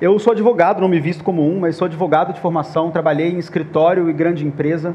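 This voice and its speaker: Speaking with a Minas Gerais accent, a man with a fairly high pitch talks at a fairly quick pace with fairly even intonation and audible room echo. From Minas Gerais, Brazil. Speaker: panel moderator, startup founder. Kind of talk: conference panel talk.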